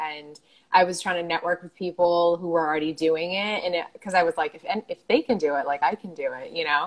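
Speaking at a very fast pace in an American accent, a woman keeps a fairly even intonation at a fairly low pitch. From United States. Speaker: online show host and entrepreneur. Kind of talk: casual interview chat. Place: home room. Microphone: earbuds.

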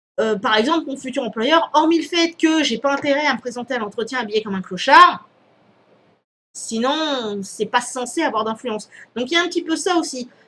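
Raising and projecting her voice, a woman speaks at a high pitch with a bright, sharp tone and lively intonation. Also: moderate pace. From Réunion. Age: 30s. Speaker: YouTuber. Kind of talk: vlog Q&A. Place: home room. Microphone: headset.

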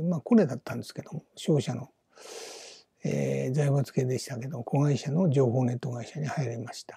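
The man's voice is pitched fairly high, with a dark, mellow tone and a somewhat breathy quality. The sound is dry and close, with no echo. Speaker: business YouTuber, retired company employee. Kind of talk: solo video monologue. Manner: casual, rambling with many fillers.

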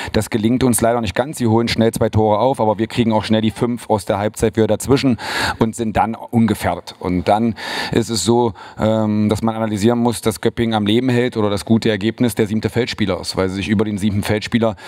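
A man's fairly low, monotone voice with flat intonation, at a very fast pace. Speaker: handball team coach. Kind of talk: press conference statement. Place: hall. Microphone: handheld.

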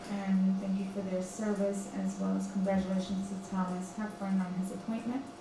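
A woman at a medium pitch, little pitch movement, clear background noise

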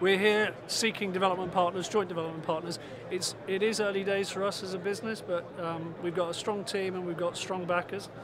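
A man speaks at a fairly quick pace with a high pitch, monotone, flat intonation and hardly any pauses. The sound is dry with no echo, but there is noticeable background noise. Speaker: startup sales executive. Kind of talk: trade show interview. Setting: trade show floor. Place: hall. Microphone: phone near.

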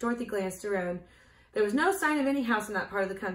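Someone reading aloud in a natural voice

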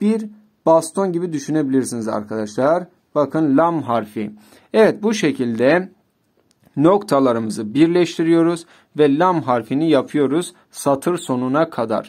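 Over a quiet background, a man speaks at a fairly slow pace. His voice is fairly high with lively intonation. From Turkey. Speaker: Arabic teacher. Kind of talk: tutorial. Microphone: phone near.

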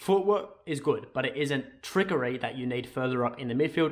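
Against a quiet background, a man with an Australian accent speaks in a fairly high voice with ordinary pitch variation. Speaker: football YouTuber. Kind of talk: casual video commentary. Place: home room.

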